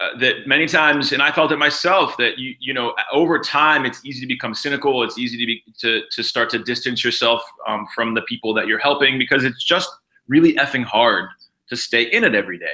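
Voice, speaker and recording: A man with an American accent speaks loudly at a moderate pace, his bright, sharp tone set at a fairly high pitch. His pitch varies in an ordinary way. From Pittsburgh, Pennsylvania. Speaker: nonprofit founder and CEO. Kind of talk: interview. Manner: halting, many fillers.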